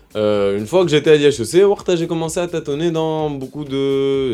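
Music plays in the background as a man speaks at a fairly slow pace, his pitch swinging very widely. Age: 20s. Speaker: student entrepreneur. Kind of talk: interview.

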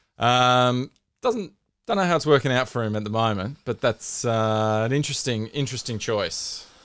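A man with an Australian accent, moderate pace and ordinary pitch variation. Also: medium pitch for a man, very clean recording, silent background. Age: 40s. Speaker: podcast host. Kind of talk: casual chat.

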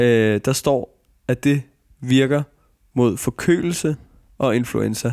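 Speaking at a very slow pace, a man leaves long, frequent pauses. His pitch is medium and his loudness very even. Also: ordinary pitch variation, dry, close sound with no echo. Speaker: radio host. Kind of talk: casual chat.

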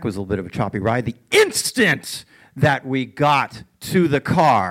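A man with an American accent and very wide pitch swings. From Boston. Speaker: animator. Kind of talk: storytelling on stage. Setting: theater stage with audience.

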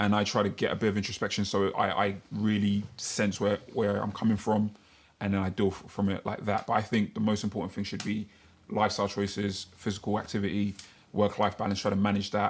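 In a London accent, a man speaks fairly quickly in a fairly low, monotone, flat voice. The recording is very clean, with a silent background. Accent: London multicultural English. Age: 30s. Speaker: podcast co-host. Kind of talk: casual chat.

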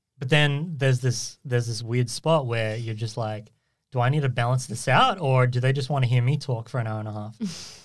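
A somewhat breathy man's voice at a moderate pace, in a very clean recording with a silent background. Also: medium pitch for a man, fairly even intonation. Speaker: podcast host. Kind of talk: casual chat. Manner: filler-heavy, self-conscious about ums.

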